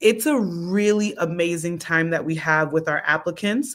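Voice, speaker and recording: A woman speaks in a plain, everyday voice, fairly low in pitch with ordinary pitch variation, on a very clean recording with a silent background. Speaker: founder of a medical association hosting an info session. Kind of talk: live stream info session. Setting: live stream. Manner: casual, encouraging.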